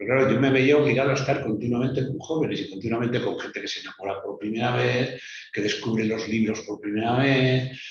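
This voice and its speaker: Over noticeable background noise and audible room echo, a man speaks very fast at a medium pitch with fairly even intonation. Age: 60s. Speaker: writer. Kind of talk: interview.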